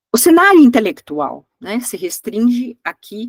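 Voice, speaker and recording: A woman talks at a fairly slow pace with lively intonation. The sound is dry and close, with no echo. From Brazil. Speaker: history professor. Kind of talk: lecture. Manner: halting, many fillers.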